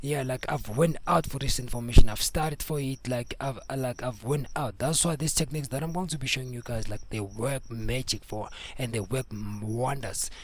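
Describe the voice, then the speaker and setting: At a moderate pace and with hardly any pauses, a man with a Zulu accent speaks in a somewhat breathy, medium-pitched voice with ordinary pitch variation. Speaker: music producer and mastering tutor. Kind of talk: tutorial. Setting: home studio. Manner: code-switching between Zulu and English; casual, repetitive.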